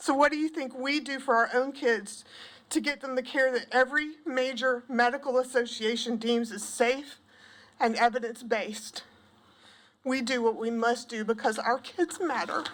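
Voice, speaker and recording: Delivered at a moderate pace in a Southern US accent, the speech has fairly even intonation. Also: woman, high pitch for a woman. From US South, South Carolina (Pendleton). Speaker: parent testifying at legislature, school counselor. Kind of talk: public testimony. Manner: shaky.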